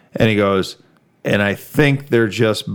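In an American accent, a man with a fairly low pitch and an ordinary speaking voice talks at a fairly slow pace. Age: 40s. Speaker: car podcast host. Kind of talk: casual chat.

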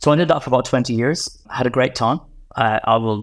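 The speaker has a Northern Irish accent and talks at a fairly quick pace. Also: man. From Northern Ireland, Enniskillen. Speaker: infrastructure investment executive. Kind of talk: interview.

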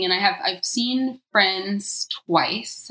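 A woman with an American accent has a normal speaking voice, a medium pitch, and lively intonation. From US South, Georgia (Atlanta suburbs). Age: 30s. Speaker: vegan food blogger and cookbook author. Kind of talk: casual interview chat.

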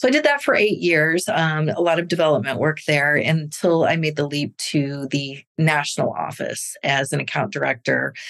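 A woman's very deep, low voice in a Midwestern US accent, at a moderate pace with ordinary pitch variation. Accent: US Midwest. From Missouri, near St. Louis. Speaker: nonprofit fundraising executive. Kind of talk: interview conversation.

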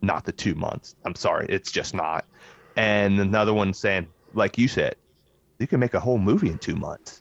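This man has an unremarkable speaking voice, fairly low-pitched, with ordinary pitch variation at a moderate pace, recorded dry and close with no echo. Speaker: podcast host. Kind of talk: casual chat.

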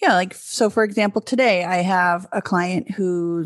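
A woman with a plain, everyday voice speaks at a medium pitch, the sound dry and close with no echo. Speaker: podcast host, business manager. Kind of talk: casual conversational podcast.

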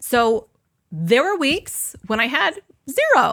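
Her voice raised and projected, a woman delivers a bright, sharp, animated tone with very wide pitch swings at a fairly slow pace. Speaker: energy healer and business coach. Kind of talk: live workshop teaching. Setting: online live session with audience.

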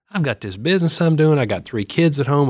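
In a Southern US accent, a man talks very fast, the sound dry and close with no echo. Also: very clean recording, silent background. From Middle Tennessee (Murfreesboro). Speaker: state senator and pharmacist. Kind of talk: casual chat.

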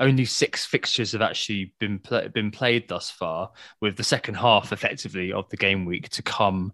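Someone with an English accent speaks with ordinary pitch variation in a dry, close sound with no echo and a quiet background. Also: man. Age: 30s. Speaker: fantasy football podcast host. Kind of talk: casual chat. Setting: at home.

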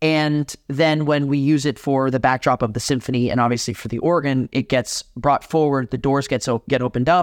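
A man with an American accent speaks in a normal speaking voice at a fairly high pitch and a moderate pace. His intonation is fairly even, and the sound is dry and close with no echo. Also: quiet background. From Miami, Florida, Cuban household. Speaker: concert organist. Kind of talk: interview.

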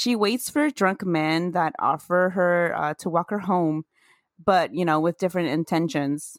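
Recorded very cleanly against a silent background with a dry, close sound and no echo, a woman has an unremarkable speaking voice at a fairly low pitch with ordinary pitch variation. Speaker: podcast host. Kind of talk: casual chat.

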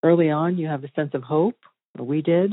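A woman speaks with fairly even intonation. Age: 50s. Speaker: murder victim's daughter. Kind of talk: interview testimony.

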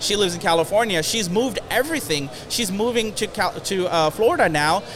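With noticeable background noise behind him, a man with a high pitch talks at a fairly quick pace using lively intonation. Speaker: real estate entrepreneur and motivational speaker. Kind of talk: interview. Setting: studio.

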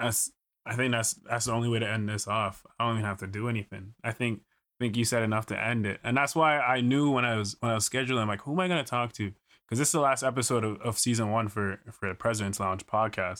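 A man talks at a very fast pace in a bright, sharp tone. His pitch is medium with ordinary variation, in a very clean recording with a silent background. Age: 20s. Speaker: podcast host, former university football player. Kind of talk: casual interview chat.

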